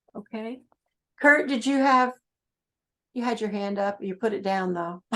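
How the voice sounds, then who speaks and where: A woman with a New England accent speaks at a moderate pace. Her fairly high voice has a bright, sharp tone and ordinary pitch variation. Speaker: grant writing trainer. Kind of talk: training workshop.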